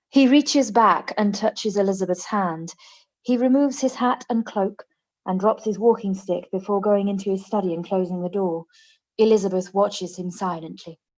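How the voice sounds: A woman speaks at a moderate pace with a slightly mellow tone. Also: medium pitch for a woman, ordinary pitch variation.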